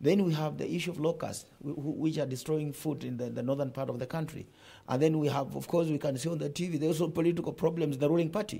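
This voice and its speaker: Speaking very fast, a man with a fairly high pitch has a dark, mellow, somewhat breathy tone and fairly even intonation. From Kenya. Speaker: nurses' union leader. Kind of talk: TV studio interview. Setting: TV studio. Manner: forceful. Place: studio. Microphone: lapel.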